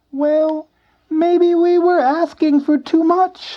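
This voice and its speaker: In a put-on character voice, a man speaks extremely high and squeaky, very slowly and in a flat monotone. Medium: read story. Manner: persuasive, friendly.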